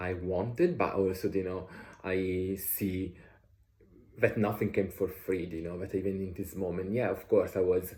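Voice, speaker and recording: A man's voice sits very deep and low, with a dark, mellow tone that is somewhat breathy. He speaks at a moderate pace with monotone, flat intonation. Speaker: author and vlogger. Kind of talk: casual vlog monologue. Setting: traveling, changing locations. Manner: halting, many fillers.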